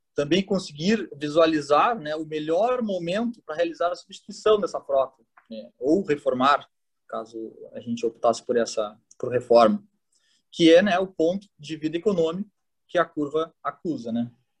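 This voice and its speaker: The speech keeps a moderate pace. Its pitch leaps very widely. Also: man, high pitch for a man. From southern Brazil (Rio Grande do Sul). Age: 30s. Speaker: automation engineer, planning manager. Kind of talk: interview. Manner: halting, many fillers.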